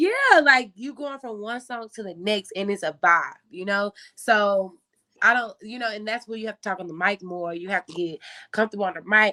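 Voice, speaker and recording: A woman speaks in a bubbly, bright, sharp tone with ordinary pitch variation. The sound is dry and close, with no echo. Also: medium pitch for a woman, moderate pace, big swings in loudness. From Memphis, Tennessee. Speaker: tour DJ. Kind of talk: casual interview chat. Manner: loud, bubbly.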